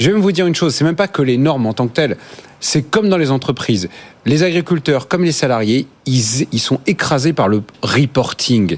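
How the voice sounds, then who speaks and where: A plain, everyday voice from a man, fairly high-pitched, with lively intonation and very even loudness. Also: fairly quick pace. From France, Normandy. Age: 30s. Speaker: think-tank spokesperson. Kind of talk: panel debate.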